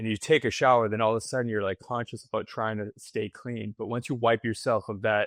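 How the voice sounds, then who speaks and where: A man's normal speaking voice at medium pitch and moderate pace, fairly even in intonation, with a dry, close sound with no echo and a quiet background. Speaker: staffing company founder. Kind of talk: casual chat.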